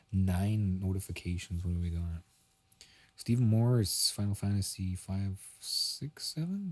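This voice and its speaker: A man speaks at a fairly slow pace in a somewhat breathy, fairly low voice with ordinary pitch variation. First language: not English. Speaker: music producer streamer. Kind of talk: live stream commentary. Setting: bedroom. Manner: casual, thinking aloud.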